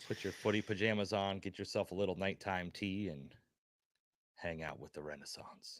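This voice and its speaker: A man at a moderate pace, fairly low in pitch, on a very clean recording with a silent background. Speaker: wrestling podcast co-host. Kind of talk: casual chat. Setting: live stream. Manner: monotone.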